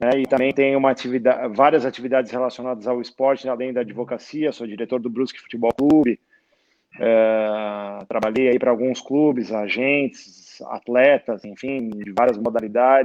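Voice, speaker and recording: Intonation stays fairly even while the delivery holds a moderate speed. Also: man, medium pitch for a man. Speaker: sports lawyer and law professor. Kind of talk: casual interview chat. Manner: hesitant, filler-heavy; soft-spoken, talking quietly.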